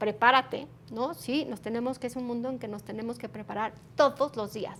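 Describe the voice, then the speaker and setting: A woman speaks in a plain, everyday voice at a fairly high pitch. Her pace is fairly quick, with ordinary pitch variation. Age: 40s. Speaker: human resources executive. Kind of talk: interview.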